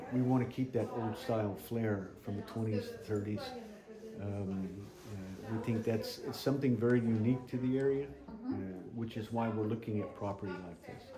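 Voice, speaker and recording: Noticeable background noise runs under speech at a moderate pace. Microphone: phone near.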